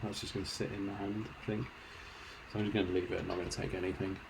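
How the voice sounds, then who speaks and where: Amid noticeable background noise and audible room echo, a man speaks at a very fast pace and a fairly low pitch in a monotone, flat way, with long, frequent pauses. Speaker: video game streamer. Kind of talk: live gameplay commentary. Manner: casual, chatty.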